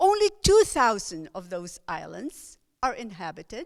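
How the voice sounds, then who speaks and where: Speaking fairly slowly, a woman talks in a Filipino accent. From Philippines. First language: Filipino language. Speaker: lay preacher. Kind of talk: sermon. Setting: church service, recorded online.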